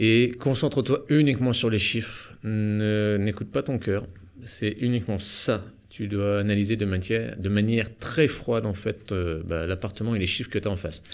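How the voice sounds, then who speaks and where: This man has a normal speaking voice, fairly low in pitch, with ordinary pitch variation at a moderate pace. The recording is very clean, with a silent background. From eastern France (Nancy). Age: 30s. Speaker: real estate investor and business coach. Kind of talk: podcast interview. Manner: casual, informal.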